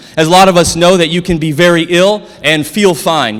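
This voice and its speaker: Against noticeable background noise, a man with an American accent speaks in an animated tone. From South Dakota, US. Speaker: chiropractor. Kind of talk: conference lecture. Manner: fast.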